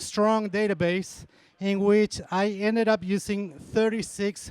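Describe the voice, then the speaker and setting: A man with an Argentine accent speaks at a very slow pace. His voice is high-pitched, with fairly even intonation. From Argentina. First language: Spanish. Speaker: university dairy extension specialist. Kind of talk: lecture.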